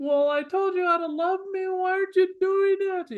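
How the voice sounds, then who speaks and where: This put-on character voice sits at an extremely high pitch and sounds whiny. It moves at a moderate pace. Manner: whiny, complaining.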